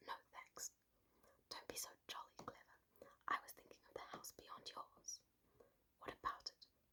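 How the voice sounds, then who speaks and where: A woman's whispering at a fairly slow pace. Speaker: ASMR creator. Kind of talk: ASMR bedtime story reading. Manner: whispered, close-mic, soft-spoken.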